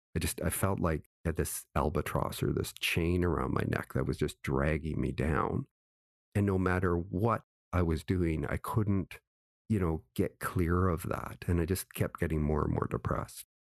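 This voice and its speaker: A man with very deep, low pitch and vocal fry talks at a moderate pace with ordinary pitch variation and very even loudness, his voice dry and close with no echo against a quiet background. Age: 60s. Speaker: author and former consultant. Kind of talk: interview.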